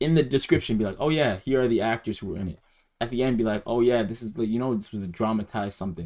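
Speaking very rapidly, a man delivers his words with lively intonation. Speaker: reaction streamer. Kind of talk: casual commentary. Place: home room. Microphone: headset.

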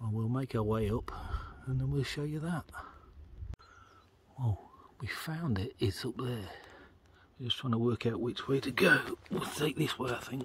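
A man speaks at a moderate pace with ordinary pitch variation and long, frequent pauses, his sound dry with no echo over light background noise. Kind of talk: casual vlog commentary. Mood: relaxed, admiring. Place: forest. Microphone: phone near.

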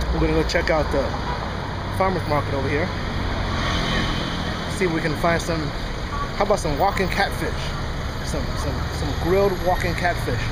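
Loud background noise sits behind the recording. A man talks at a fairly quick pace. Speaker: travel vlogger. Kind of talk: casual vlog chat. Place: street. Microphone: phone near.

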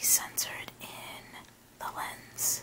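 The words are whispered very slowly. Background noise is noticeable. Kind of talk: ASMR haul.

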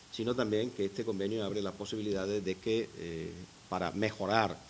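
A man's speech comes fairly quickly, its intonation flat and monotone. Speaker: university rector. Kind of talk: formal speech at agreement signing.

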